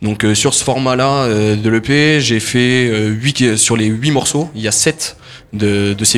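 An unremarkable speaking voice. The intonation stays fairly even. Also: man. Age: 20s. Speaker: singer. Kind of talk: interview.

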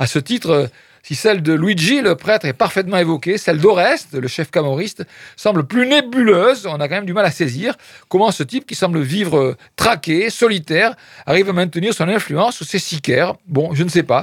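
A man with a high pitch speaks at a moderate pace with lively intonation. The recording is very clean, with a silent background. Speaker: radio film critic host. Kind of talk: radio film review show. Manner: hesitant, many fillers.

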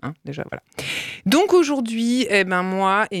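The speech moves at a fairly slow pace, recorded with a dry, close sound and no echo. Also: woman. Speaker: radio co-host. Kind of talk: satirical radio chronicle and casual chat. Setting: radio studio.

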